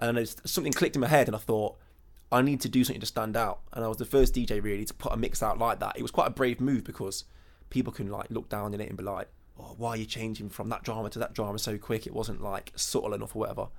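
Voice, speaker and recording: Speaking at a very fast pace, a man talks with a West Midlands accent. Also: medium pitch for a man, fairly even intonation. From English Midlands, Burton on Trent. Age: 20s. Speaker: DJ. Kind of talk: interview. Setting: hotel room.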